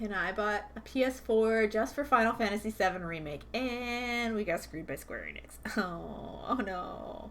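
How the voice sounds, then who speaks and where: Against noticeable background noise, a woman speaks in an animated tone at a medium pitch with ordinary pitch variation. Her pace is moderate, with hardly any pauses. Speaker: beading streamer. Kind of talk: casual chat. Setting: live stream. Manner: mumbling at times; chatty and animated.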